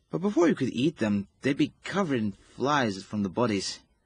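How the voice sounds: A man's put-on character voice with a husky, rough edge, medium pitch, big pitch swings and a moderate pace.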